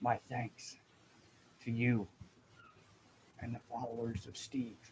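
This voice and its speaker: A man uses a put-on character voice at a medium pitch. He talks at a fairly slow pace. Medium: actual play. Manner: hushed, halting.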